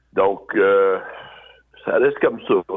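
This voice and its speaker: A man is speaking. His pace is very slow. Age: 60s. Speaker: biker and charity fundraiser. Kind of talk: casual interview, personal life story.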